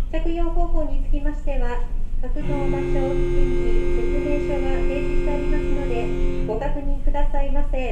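Noticeable background noise is present. A woman speaks at a moderate pace. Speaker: ship announcer. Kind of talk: formal public announcement. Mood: polite, apologetic. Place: boat.

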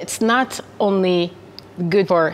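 A woman's lively intonation amid noticeable background noise. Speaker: food company representative. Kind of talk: corporate promotional interview.

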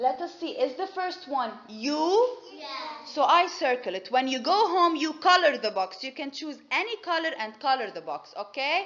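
A woman speaks at a moderate pace with a high pitch and hardly any pauses. Her loudness swings widely. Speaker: kindergarten teacher. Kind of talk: classroom lesson. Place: classroom.

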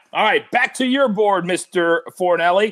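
Over a quiet background, a man speaks in an energetic tone with lively intonation. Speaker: sports betting show host. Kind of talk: casual sports betting preview. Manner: energetic, hype-style delivery. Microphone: earbuds.

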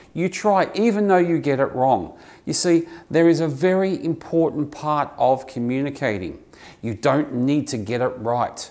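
In an Australian accent, a man with a fairly high pitch talks at a fairly slow pace with lively intonation. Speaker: English teacher. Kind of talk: tutorial. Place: office. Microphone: lapel.

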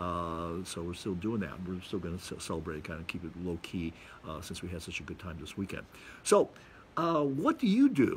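The somewhat breathy voice moves at a moderate pace with ordinary pitch variation and big swings in loudness, over light background noise. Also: man, very deep, low pitch for a man. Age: 60s. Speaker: video blogger. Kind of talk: monologue to camera, casual talk. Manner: casual, rambling, with fillers. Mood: relaxed, reflective. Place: garden. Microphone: phone near.

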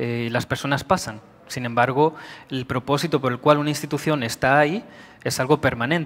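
A man at a moderate pace, with fairly even intonation. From Spain. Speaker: IT director. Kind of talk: conference talk. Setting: stage with audience. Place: hall.

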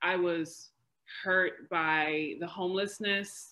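At a very slow pace, a woman with an American accent talks in a fairly low pitch with ordinary pitch variation. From New York City. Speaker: PhD researcher, historian. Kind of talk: academic panel discussion. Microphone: video call.

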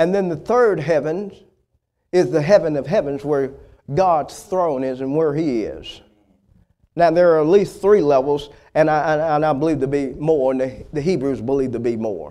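Against a quiet background, a man with an American accent speaks in a dark, mellow tone with ordinary pitch variation. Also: moderate pace. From US South. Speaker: preacher. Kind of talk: sermon. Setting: church. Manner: animated, fervent preaching cadence with call-and-response prompts like 'Say amen'; exhortative, punchy repetition of key words for emphasis. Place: church. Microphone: lapel.

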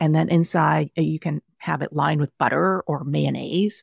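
The woman has a Californian accent and keeps a moderate pace. The recording is very clean with a silent background and a dry, close sound with no echo. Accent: American (Californian). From Vietnam (Saigon), raised in Southern California from age six. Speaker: cookbook author. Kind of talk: interview.

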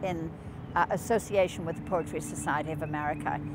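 Through loud background noise, a woman speaks at a very deep, low pitch. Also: dry sound with no echo. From Ireland. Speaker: poet. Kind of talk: literary talk at a poetry reading.

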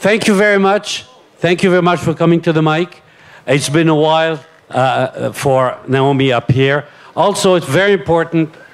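A man's ordinary speaking voice, an ordinary speaking voice at a fairly high pitch, with ordinary pitch variation and very even loudness. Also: moderate pace. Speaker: event moderator. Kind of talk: event moderation. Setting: stage with audience. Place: tent. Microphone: handheld.

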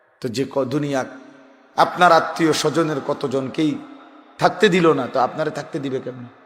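His voice sits fairly high. The man's pitch shifts in an ordinary way. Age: 40s. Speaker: Islamic preacher. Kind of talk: sermon. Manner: emphatic, repetitive exhortation.

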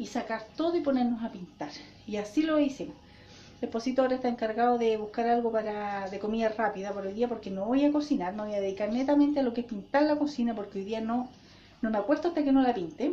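Over light background noise, a woman with a Chilean accent speaks at a very fast pace and a fairly high pitch, with ordinary pitch variation. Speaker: family vlogger. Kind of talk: casual vlog talk to camera. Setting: at home. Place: home room. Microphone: phone near.

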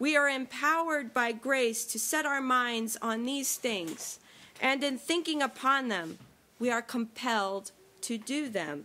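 Speaking very slowly, a woman projects a raised voice with a bright, sharp tone and lively intonation. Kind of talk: sermon.

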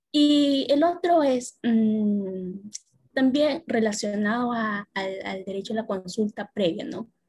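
Against a quiet background, a woman speaks very slowly with lively intonation. Her voice is fairly high and somewhat breathy. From Peru. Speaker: workshop participant. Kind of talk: audience question. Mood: calm, reflective. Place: home room. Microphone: video call.

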